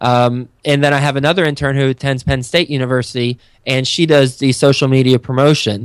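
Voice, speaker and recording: A man with an American accent and a normal speaking voice talks fairly quickly at medium pitch with fairly even intonation. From Texas. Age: 30s. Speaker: real estate investor and podcast host. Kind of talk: interview. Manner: frequent fillers and repetitions.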